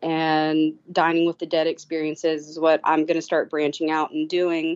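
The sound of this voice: A woman with a low pitch talks at a moderate pace in a monotone, flat delivery, her clear, smooth and slightly mellow tone captured dry and close with no echo.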